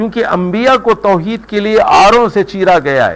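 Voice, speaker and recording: A man is speaking. His voice sits high for a man. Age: 60s. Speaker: Quran commentator. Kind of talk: religious lecture.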